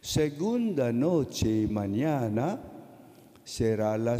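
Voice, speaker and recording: Against a quiet background, a man with a Filipino accent speaks very slowly in a dark, mellow tone at medium pitch, with lively intonation. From Philippines. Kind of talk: sermon. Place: church. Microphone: podium.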